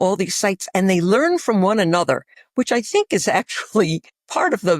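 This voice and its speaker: With a New York accent and a medium pitch, a woman speaks at a fairly quick pace in a very clean recording with a silent background and a dry, close sound with no echo. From New York City. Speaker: infectious disease physician. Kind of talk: interview. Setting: podcast.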